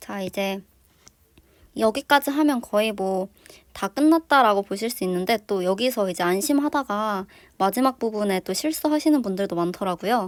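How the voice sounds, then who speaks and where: In a very clean recording with a silent background and a dry, close sound with no echo, a woman uses an ordinary speaking voice at a medium pitch, with lively intonation and a moderate pace. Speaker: vlogger. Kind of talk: tutorial.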